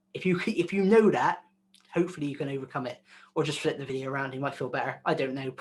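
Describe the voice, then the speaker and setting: Speaking at a very fast pace with a West Country accent, a man with a fairly high pitch and ordinary pitch variation sounds somewhat breathy against a quiet background. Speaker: video content creator. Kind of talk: interview. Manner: casual, filler-heavy.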